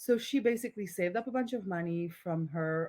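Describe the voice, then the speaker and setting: On a very clean recording with a silent background, a woman in a Polish accent speaks with a fairly low pitch and ordinary pitch variation. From Poland. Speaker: entrepreneur, community founder. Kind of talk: podcast interview. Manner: casual, animated.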